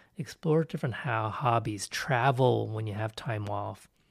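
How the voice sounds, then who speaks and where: A somewhat breathy man at a moderate pace with ordinary pitch variation, on a very clean recording with a silent background. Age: 50s. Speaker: psychology professor and podcast host. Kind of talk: solo educational podcast monologue. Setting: solo recording. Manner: casual with frequent filler words.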